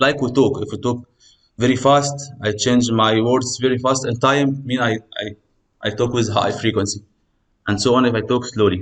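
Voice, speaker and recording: A man speaks with an Arabic accent at a medium pitch. His pace is moderate and his intonation fairly even. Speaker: university lecturer. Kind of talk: lecture. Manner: code-switching English and Egyptian Arabic.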